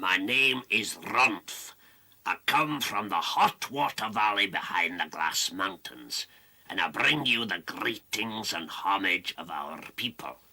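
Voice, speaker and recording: A cartoonish character voice from a man, fairly low in pitch, with lively intonation and a fairly slow pace. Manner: gruff, proud.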